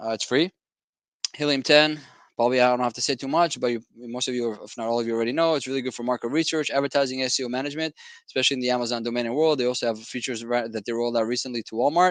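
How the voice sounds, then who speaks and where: With fairly even intonation, a man delivers his lines at a very fast pace. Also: medium pitch for a man. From Israel. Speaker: business software company founder. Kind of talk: webinar presentation. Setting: live online training. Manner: halting.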